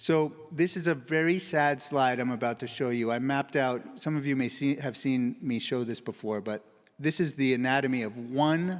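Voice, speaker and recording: A man with an ordinary speaking voice talks at medium pitch and a moderate pace with ordinary pitch variation, in a very clean recording with a silent background. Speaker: physician giving a conference talk. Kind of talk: conference presentation.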